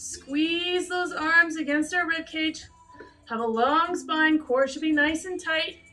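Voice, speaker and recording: A woman speaks at a very slow pace in a raised, projected voice with fairly even intonation. Faint music plays in the background. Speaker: fitness instructor. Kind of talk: workout instruction. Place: gym. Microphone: camera far.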